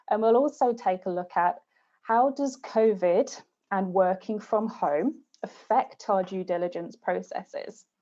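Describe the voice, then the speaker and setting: With a British accent, a woman speaks fairly slowly in a dark, mellow tone, her fairly high pitch showing ordinary variation. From UK. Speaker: game studio external development manager. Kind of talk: webinar presentation.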